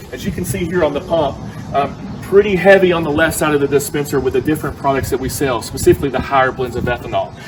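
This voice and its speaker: With a Southern US accent, a man talks at a very fast pace and a fairly high pitch. His pitch variation is ordinary, and background noise is noticeable. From US South. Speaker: fuel retail executive. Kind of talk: presentation on site.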